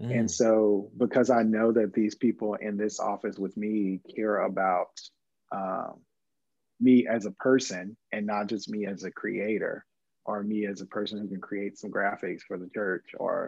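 Against a quiet background, a man with a normal speaking voice and fairly low pitch talks at a moderate pace with fairly even intonation. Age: 20s. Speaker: church creative team member. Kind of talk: casual chat.

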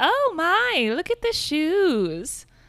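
Squeaky and at an extremely high pitch, this is a put-on character voice. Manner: mincing, mocking.

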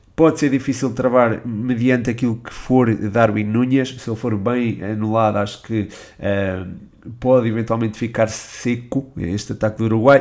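Speaking with a European Portuguese accent, a man keeps a moderate pace. His medium-pitched voice has fairly even intonation. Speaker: football podcast host. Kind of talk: Q&A podcast monologue. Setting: changed recording location mid-episode. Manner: hesitant, with filler sounds.

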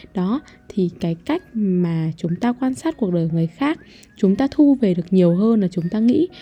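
A woman speaks in a dark, mellow tone that is somewhat breathy. Her pitch swings very widely. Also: medium pitch for a woman, moderate pace. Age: young. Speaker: podcast host. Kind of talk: casual monologue. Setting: home recording room. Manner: rambling, conversational.

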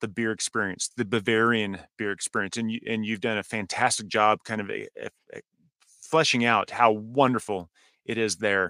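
The voice has a bright, sharp tone and fairly even intonation, moving at a fairly quick pace. The recording is very clean, dry and close, with no echo and a silent background. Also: man. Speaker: podcast host. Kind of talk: interview.

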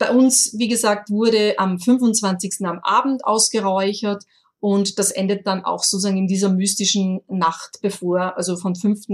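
With an Austrian accent, a woman speaks at a fairly slow pace and medium pitch, her somewhat breathy voice following fairly even intonation. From rural Austria. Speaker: online shop owner, incense expert. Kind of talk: interview. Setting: remote call. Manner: halting, many fillers.

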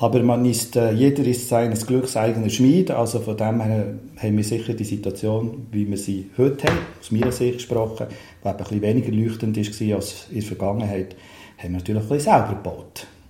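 Fairly quick speech in a room with audible echo and noticeable background noise. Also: man, medium pitch for a man, fairly even intonation. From Switzerland, Bern. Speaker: city councillor and cultural manager. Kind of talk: casual interview chat. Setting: in a chalet.

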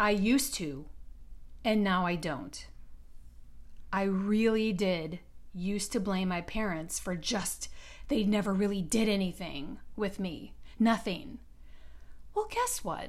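A very slow voice with an American accent, ordinary pitch variation, long, frequent pauses and audible room echo. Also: woman, medium pitch for a woman. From US Midwest, Detroit. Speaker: podcast host and business coach. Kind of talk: solo podcast monologue.

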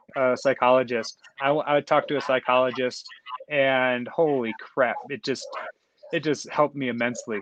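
A man with an American accent speaks in a plain, everyday voice at medium pitch. He moves at a fairly quick pace with fairly even intonation. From US. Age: 30s. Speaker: professional triathlete. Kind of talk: interview.

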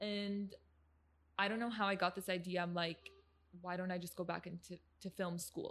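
A woman with a Midwestern accent, medium pitch and monotone, flat intonation at a moderate pace. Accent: American Midwest. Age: 20s. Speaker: content creator. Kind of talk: casual chat. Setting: studio.

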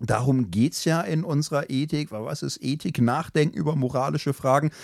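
At a moderate pace, a man uses an unremarkable speaking voice with a fairly high pitch. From Germany, Ruhr area (Gelsenkirchen). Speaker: theology professor and podcast co-host. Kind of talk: casual discussion on ethics.

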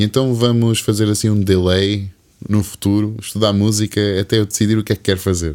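A man's fairly low, monotone, flat delivery at a fairly quick pace with very even loudness. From Algarve, Portugal. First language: English (speaking Portuguese). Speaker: singer-songwriter. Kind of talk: casual interview chat. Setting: studio.

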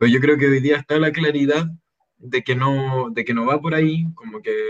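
A man with a Chilean accent speaks with ordinary pitch variation. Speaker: former student activist spokesperson. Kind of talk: casual interview.

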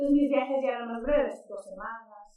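A woman's fairly high voice with audible room echo. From Mexico, Sonora. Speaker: writer. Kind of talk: casual interview.

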